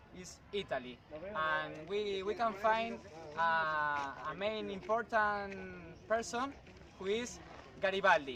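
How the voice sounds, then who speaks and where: Over noticeable background noise, a man speaks very slowly with long, frequent pauses, his voice raised and projected. His pitch is high and his intonation lively. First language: Spanish. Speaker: student. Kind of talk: class presentation. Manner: halting.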